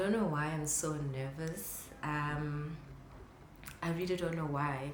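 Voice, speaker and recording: Over noticeable background noise and audible room echo, a woman speaks very slowly. Her pitch is very deep and low. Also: fairly even intonation. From South Africa, KwaZulu-Natal. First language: Zulu. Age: 30s. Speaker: photographer and vlogger. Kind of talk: casual vlog talk to camera.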